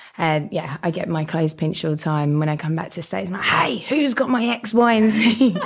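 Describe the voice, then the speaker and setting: Fairly quick speech from a woman with a fairly low pitch, very wide pitch swings, hardly any pauses and noticeable background noise. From southeast England, Dartford near Kent/Essex border. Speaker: company director. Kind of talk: casual interview chat. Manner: animated, lively.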